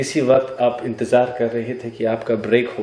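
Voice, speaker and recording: A man's voice over noticeable background noise. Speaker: talk show host. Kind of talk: talk show interview questions.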